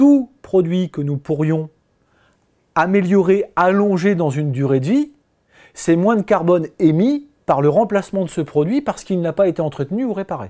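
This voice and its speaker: Against a quiet background, a man speaks at a high pitch and a moderate pace. His tone is dark and mellow, with lively intonation. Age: 40s. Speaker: business owner. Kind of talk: interview testimony. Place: office. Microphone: lapel.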